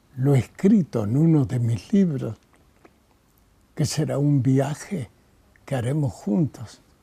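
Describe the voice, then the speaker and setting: The speech is very slow, with long, frequent pauses and lively intonation. The tone is dark and mellow, and somewhat breathy. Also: man, medium pitch for a man. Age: 90s. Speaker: poet. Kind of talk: interview.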